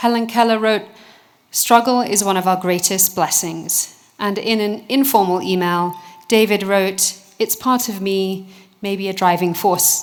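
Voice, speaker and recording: A woman with a British accent, medium pitch and fairly even intonation, at a fairly slow pace amid noticeable background noise. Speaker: researcher. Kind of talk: award presentation speech.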